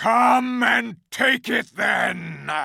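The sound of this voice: This put-on character voice is loud, bellowing and raspy.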